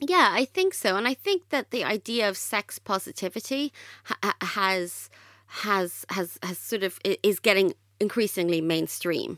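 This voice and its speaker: A medium-pitched woman with an Irish accent and a bright, sharp tone, in dry, close sound with no echo on a very clean recording with a silent background. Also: ordinary pitch variation, moderate pace. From Ireland. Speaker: author. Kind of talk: podcast interview.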